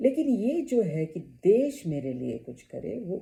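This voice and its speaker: A woman's dark, mellow voice with vocal fry and very wide pitch swings. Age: 70s. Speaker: YouTuber. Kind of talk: personal vlog talk.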